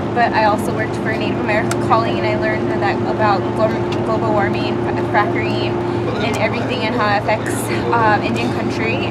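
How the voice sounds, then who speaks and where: Over loud background noise, a woman talks at a fairly quick pace. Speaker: university student. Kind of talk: casual chat. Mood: calm, thoughtful. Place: bus.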